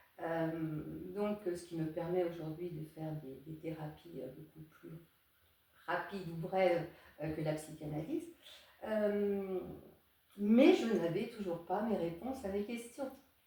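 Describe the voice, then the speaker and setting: A woman speaks very slowly with long, frequent pauses, her fairly low pitch moving in an ordinary way while her loudness swings widely, heard with audible room echo and noticeable background noise. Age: 60s. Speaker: psychotherapist and psychoanalyst. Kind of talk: interview. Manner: hesitant, many fillers.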